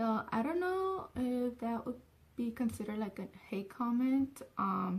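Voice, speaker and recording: A woman's high pitch and lively intonation in a Spanish accent, with noticeable background noise. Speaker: vlogger. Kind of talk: casual vlog talk. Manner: filler-heavy, says so and um a lot.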